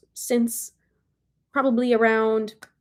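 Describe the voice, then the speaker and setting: This is a normal speaking voice. The delivery comes at a fairly slow pace. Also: woman. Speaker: spiritual channeler and energy healer. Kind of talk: live stream spiritual reading. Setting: livestream.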